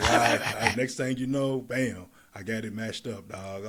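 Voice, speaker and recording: Putting on a raspy character voice, a man speaks at a moderate pace and medium pitch, his intonation fairly even but his loudness swinging widely. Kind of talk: casual street slang.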